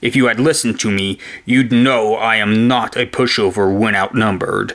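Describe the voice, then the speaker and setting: A man's growling, put-on character voice at medium pitch, with fairly even intonation, a moderate pace and very even loudness. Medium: read story. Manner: grave, threatening.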